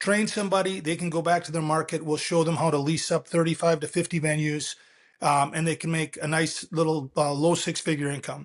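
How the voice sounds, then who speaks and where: With an ordinary speaking voice, a man talks at a fairly quick pace in a fairly high pitch, his intonation fairly even and the background quiet. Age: 60s. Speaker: company founder and CEO. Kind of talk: interview.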